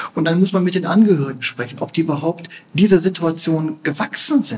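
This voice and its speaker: Noticeable background noise sits behind a man's voice. He talks at a moderate pace with a fairly high pitch. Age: 50s. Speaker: palliative care physician. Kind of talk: interview. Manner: halting, repeats words.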